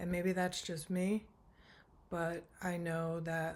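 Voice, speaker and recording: A woman speaks at a very slow pace, soft-spoken. Her intonation is monotone and flat. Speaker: tarot reader. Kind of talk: tarot reading monologue.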